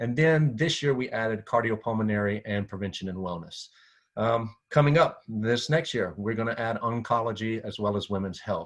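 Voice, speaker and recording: In a quiet background, a man talks at medium pitch with ordinary pitch variation. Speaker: physical therapy association director. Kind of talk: presentation. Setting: screen-share video presentation. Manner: fast.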